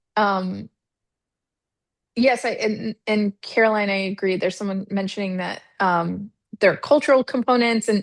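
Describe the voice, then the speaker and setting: Over a quiet background in a dry, close sound with no echo, a woman of medium pitch speaks at a moderate pace with fairly even intonation and long, frequent pauses. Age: 40s. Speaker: marketing executive hosting a webinar. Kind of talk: webinar Q and A.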